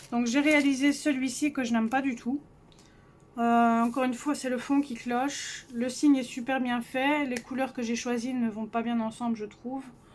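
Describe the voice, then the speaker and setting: High-pitched woman's voice, monotone and flat, at a fairly slow pace with long, frequent pauses and noticeable background noise. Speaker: coloring hobbyist youtuber. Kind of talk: casual show-and-tell vlog. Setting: cold bedroom at home. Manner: soft-spoken.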